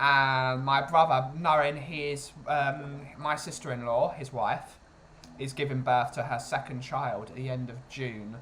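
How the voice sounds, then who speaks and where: Here a man speaks at a fairly slow pace and fairly high pitch. His tone is bright and sharp, and his loudness swings widely. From England, Essex. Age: 20s. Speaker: streamer. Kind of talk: casual chat. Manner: animated.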